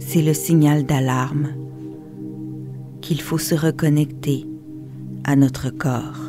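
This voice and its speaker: Music plays behind a calm, monotone voice with flat intonation and very even loudness. The pace is very slow, with long, frequent pauses. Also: woman, very deep, low pitch for a woman. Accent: Quebec. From Quebec. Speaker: meditation guide. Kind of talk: guided meditation. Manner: slow, calm.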